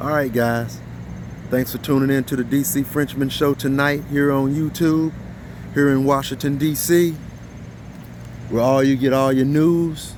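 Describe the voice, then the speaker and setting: A man speaks at a fairly high pitch and moderate pace, with long, frequent pauses and very even loudness. His intonation is monotone and flat, and there is noticeable background noise. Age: 50s. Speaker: YouTube commentator. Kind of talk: casual vlog commentary. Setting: outdoors at night. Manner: unscripted, repetitive.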